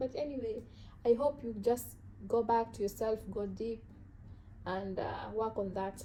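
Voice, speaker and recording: A woman with a strong African accent speaks at a moderate pace in a fairly high voice, keeping her intonation fairly even. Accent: heavy African. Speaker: self-help vlogger. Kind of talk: motivational talk to camera. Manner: casual, halting.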